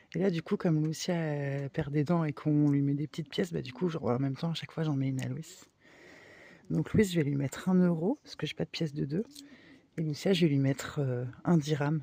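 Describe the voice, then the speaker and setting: A soft-spoken voice at a fairly quick pace. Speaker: nomadic craft vlogger, parent. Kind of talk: casual vlog chat. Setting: at home in the dark, kids asleep.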